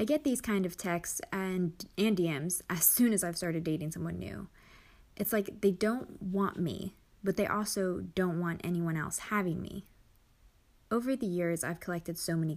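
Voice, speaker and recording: At a moderate pace, a woman speaks in a medium pitch with ordinary pitch variation. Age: 20s. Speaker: podcast host. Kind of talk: personal monologue. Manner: candid, conversational.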